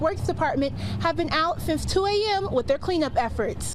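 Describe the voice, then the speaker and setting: A woman at a moderate pace against noticeable background noise. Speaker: television reporter. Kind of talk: TV news reporting, stand-ups and packages.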